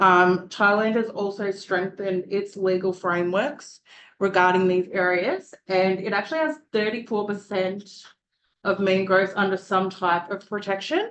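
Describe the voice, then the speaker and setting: At a moderate pace, a woman speaks with fairly even intonation and a medium pitch. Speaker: student presenter. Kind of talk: presentation.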